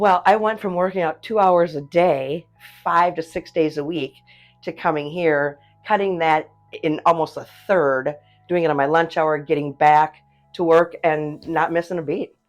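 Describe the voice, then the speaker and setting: Music plays behind a woman who speaks at a moderate pace, her pitch fairly low and her intonation fairly even. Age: 60s. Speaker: gym client. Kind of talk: testimony.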